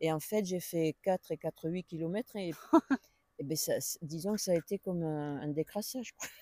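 Recorded dry and close with no echo, a woman with a fairly low, dark, mellow voice speaks at a moderate pace with ordinary pitch variation and long, frequent pauses. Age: 70s. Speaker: pilgrim. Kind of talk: interview conversation. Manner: hesitant, many fillers.

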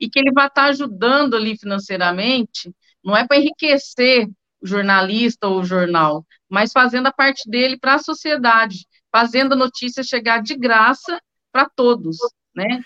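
The voice has a bright, sharp tone and lively intonation at a moderate pace. The sound is dry and close, with no echo. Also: woman, high pitch for a woman. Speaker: journalist, newspaper editor. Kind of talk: casual interview. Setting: video call.

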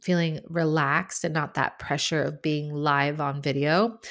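A woman with an American accent and an unremarkable speaking voice talks at a fairly slow pace with fairly even intonation, in a very clean recording with a silent background. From United States. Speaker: podcast host, branding photographer. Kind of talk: solo podcast monologue; casual interview chat.

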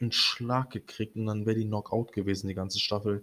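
This man's voice sits at a medium pitch and is somewhat breathy. The recording is very clean, with a silent background. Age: 20s. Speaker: podcast host. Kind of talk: casual monologue. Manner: hesitant, many fillers.

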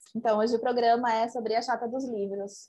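At a moderate pace, the speaker has an unremarkable speaking voice. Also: woman. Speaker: podcast co-host. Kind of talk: casual chat.

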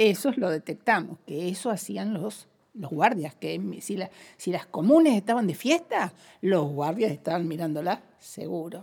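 A woman with a plain, everyday voice speaks at a medium pitch. Her pace is fairly slow and her intonation lively. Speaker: former political prisoner. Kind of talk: interview testimony.

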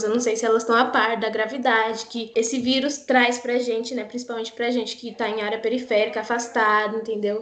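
Amid noticeable background noise and audible room echo, a woman speaks fairly quickly at a high pitch. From Brazil, São Paulo (Parelheiros). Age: 20s. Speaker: actress and cultural producer. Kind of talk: casual chat. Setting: remote recording.

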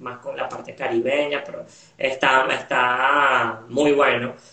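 A man with a fairly high voice keeps his intonation fairly even while noticeable background noise plays underneath. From Venezuela. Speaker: podcast host. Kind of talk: casual interview.

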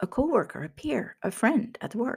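Speaking at a fairly slow pace, a woman uses vocal fry and very wide pitch swings. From Finland. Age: 50s. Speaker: leadership coach. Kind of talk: solo monologue podcast.

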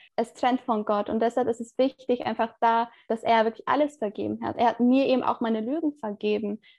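A woman speaks at a fairly quick pace in a plain, everyday voice. Her pitch is fairly high and her intonation fairly even. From Turkey. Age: 20s. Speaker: theology student. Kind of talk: interview.

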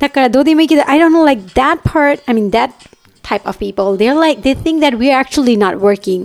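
A woman's high-pitched voice moves at a moderate speed. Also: lively intonation. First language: Japanese. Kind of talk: casual chat.

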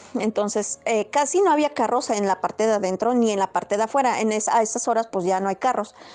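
A woman talks at a fairly quick pace with hardly any pauses. Her loudness stays very even. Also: ordinary pitch variation. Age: 30s. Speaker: storyteller sharing paranormal experiences. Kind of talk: personal storytelling. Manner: halting.

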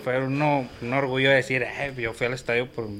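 A man's unremarkable speaking voice at medium pitch, fairly even in intonation and moderate in speed. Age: 30s. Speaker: football fan, barra member. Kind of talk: casual chat.

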